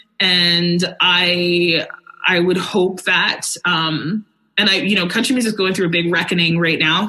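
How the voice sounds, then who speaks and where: A woman speaks in an ordinary speaking voice, her pitch fairly low. Her pace is moderate. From Alberta, Canada. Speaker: country singer. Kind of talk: casual chat.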